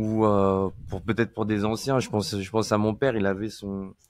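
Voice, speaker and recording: A man talks at a moderate pace. The recording is very clean with a silent background. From France, rural Deux-Sèvres. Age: 40s. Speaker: iOS software engineer. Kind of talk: casual interview chat. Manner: hesitant, many fillers and repetitions.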